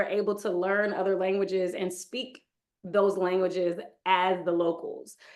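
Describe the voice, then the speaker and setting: Her pace is moderate. The woman has an American accent. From Texas (Houston) and Michigan. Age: 30s. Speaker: yoga instructor. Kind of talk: interview.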